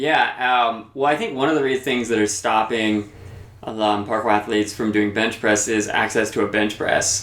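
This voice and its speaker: A man speaks at a moderate pace with medium pitch, fairly even intonation and very even loudness. Noticeable background noise runs behind him. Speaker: podcast co-host. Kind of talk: casual chat.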